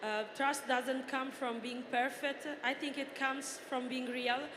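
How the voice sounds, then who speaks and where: A high-pitched woman with an Italian accent speaks at a fairly slow pace, with audible room echo and noticeable background noise. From Italy. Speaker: journalist and influencer, former footballer. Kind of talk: reading prepared answers on a panel. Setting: stage with audience.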